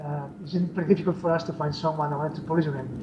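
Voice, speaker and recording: A man's fairly high-pitched voice with a non-native accent and fairly even intonation, amid noticeable background noise and audible room echo. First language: not English. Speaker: indie game developer. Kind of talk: interview. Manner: halting, many fillers.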